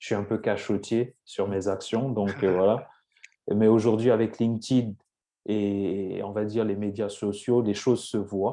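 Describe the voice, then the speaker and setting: Over a quiet background, a man with a dark, mellow tone and fairly low pitch speaks at a very slow pace in a monotone, flat intonation. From France, Lyon region (Cameroonian family). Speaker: entrepreneur. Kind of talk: interview. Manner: halting, many repetitions and fillers.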